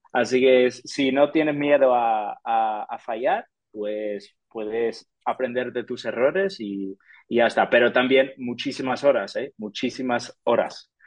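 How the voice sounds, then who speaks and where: This man talks at a very slow pace with an English accent. His medium pitch shows ordinary variation. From US, Detroit. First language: English (speaking Spanish). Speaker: sports sponsorship professional. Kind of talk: interview. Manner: halting, with frequent repetitions.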